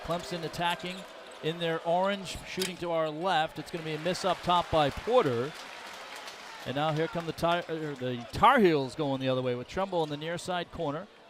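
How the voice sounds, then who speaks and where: Crowd noise fills the background as a man speaks with an American accent. His pitch variation is ordinary. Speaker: play-by-play announcer. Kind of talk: live commentary. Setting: broadcast booth. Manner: fast.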